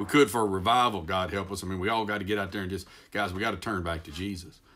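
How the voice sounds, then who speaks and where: With a Texas accent, a man speaks at a very fast pace in a very deep, low pitch and fairly even intonation. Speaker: preacher. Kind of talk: devotional talk. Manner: halting, self-correcting.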